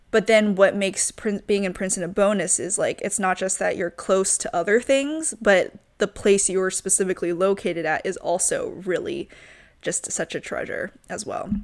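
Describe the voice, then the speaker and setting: In a plain, everyday voice with an American accent, the speaker goes at a moderate pace with ordinary pitch variation on a very clean recording with a silent background. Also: woman, medium pitch for a woman. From US South, Richmond, Virginia. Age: 20s. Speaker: podcast host. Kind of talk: casual monologue. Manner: casual, many fillers.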